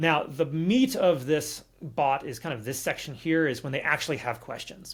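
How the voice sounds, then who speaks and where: The man's voice sits at a fairly high pitch, somewhat breathy, with ordinary pitch variation. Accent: American. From California. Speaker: automation developer. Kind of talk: tutorial walkthrough. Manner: fast.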